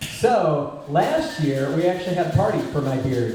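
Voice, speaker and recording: A fairly high-pitched man's voice comes through audible room echo and noticeable background noise. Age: 60s. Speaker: singer and bass player. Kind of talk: stage banter between songs. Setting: live gig at a cafe.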